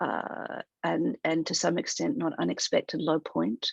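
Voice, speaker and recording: This woman talks with an Australian accent. Her sound is dry and close, with no echo. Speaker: human rights director at a tech company. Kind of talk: webinar presentation. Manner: halting, with frequent fillers.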